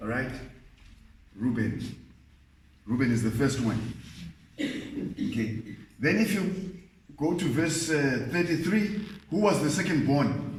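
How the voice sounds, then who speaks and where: A man with a non-native accent speaks at a fairly slow pace, his pitch swinging very widely amid audible room echo. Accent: non-native English pronunciation. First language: not English. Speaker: Bible teacher. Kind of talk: Bible study lecture.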